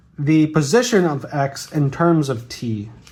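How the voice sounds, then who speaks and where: This man's voice is fairly high-pitched. Its intonation is lively. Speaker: physics tutor. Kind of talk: tutorial. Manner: casual with frequent fillers.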